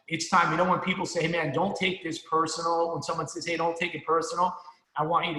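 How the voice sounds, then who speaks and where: Through audible room echo and noticeable background noise, a man is speaking. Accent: American. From New Jersey. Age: 50s. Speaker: financial services sales leader. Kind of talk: motivational speech. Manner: animated.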